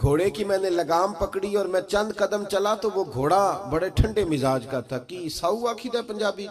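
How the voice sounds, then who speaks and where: A man talks at a high pitch with ordinary pitch variation. Noticeable background noise sits behind him. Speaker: Islamic preacher giving a religious sermon. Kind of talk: religious sermon (bayan) delivered to a live gathering. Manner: emotional, preaching.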